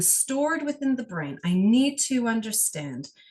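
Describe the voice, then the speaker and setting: Somewhat breathy, the speech unfolds at a fairly slow pace. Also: woman. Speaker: energy healer. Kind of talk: guided healing session.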